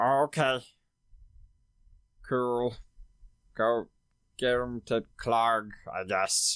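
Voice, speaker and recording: In a very clean recording with a silent background, a put-on character voice sits at a low-to-middle pitch, moving at a very slow pace with long, frequent pauses. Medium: actual play. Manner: casual, offhand.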